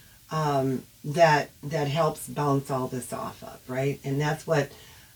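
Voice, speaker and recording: Noticeable background noise runs under speech at a fairly slow pace. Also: woman. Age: old. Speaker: online advocate on family estrangement. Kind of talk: casual livestream monologue. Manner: animated.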